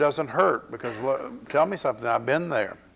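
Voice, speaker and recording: With a Southern US accent, a man talks at a fairly quick pace, his pitch swinging very widely. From US South. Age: 60s. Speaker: pastor. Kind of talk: sermon. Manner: animated.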